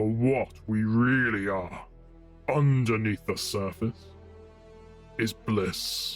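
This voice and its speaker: A put-on character voice moves at a very slow pace with long, frequent pauses while music plays clearly in the background. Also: man, medium pitch for a man. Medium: audio drama. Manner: grandiose, theatrical.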